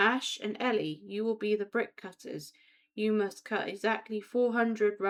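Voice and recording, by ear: The text is read aloud in a natural voice. Intonation stays fairly even.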